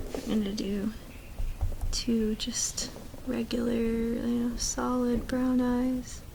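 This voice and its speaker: A very slow pace with long, frequent pauses against noticeable background noise. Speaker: ASMR creator. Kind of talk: ASMR crafting ramble. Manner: whispered.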